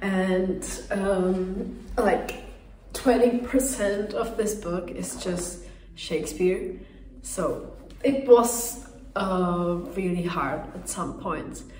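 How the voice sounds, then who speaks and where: A woman with a non-native accent at a very slow pace, ordinary pitch variation and big swings in loudness, amid audible room echo and noticeable background noise. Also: medium pitch for a woman. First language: not English. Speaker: book vlogger. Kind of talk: casual vlog review. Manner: animated.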